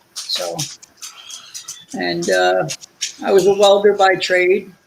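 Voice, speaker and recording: Here a man is speaking. His accent is New Jersey. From New Jersey, Linden. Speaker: guest, retired welder. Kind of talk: casual chat. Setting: live stream.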